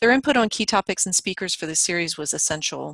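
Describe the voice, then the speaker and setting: A woman speaks at a very fast pace, the sound dry with no echo and the background quiet. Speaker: webinar host. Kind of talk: webinar introduction. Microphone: video call.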